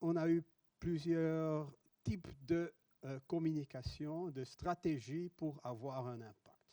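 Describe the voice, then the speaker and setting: A man with a Dutch accent talks at a very slow pace, his fairly high pitch showing ordinary variation and a dark, mellow tone. The sound is dry and close, with no echo. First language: Dutch (speaking French). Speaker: professor. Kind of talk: conference talk. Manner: halting.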